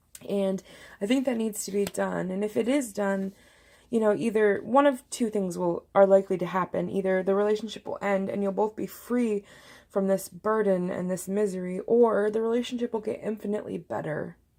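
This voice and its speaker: Speaking fairly quickly, a woman has a medium-pitched, dark, mellow tone and fairly even intonation. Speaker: tarot reader. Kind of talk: tarot reading monologue. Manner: fast.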